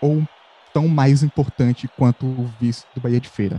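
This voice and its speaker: Noticeable background noise surrounds a man talking at a fairly slow pace. The sound is dry and close with no echo, and his intonation is fairly even. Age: 20s. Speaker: journalism student, football podcast co-host. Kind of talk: casual chat.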